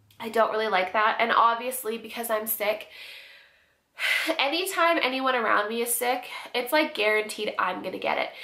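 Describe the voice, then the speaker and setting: With long, frequent pauses, a woman talks at a fairly high pitch in a room with audible echo. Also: ordinary pitch variation, moderate pace. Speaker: vlogger. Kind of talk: casual vlog update. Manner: casual, many fillers.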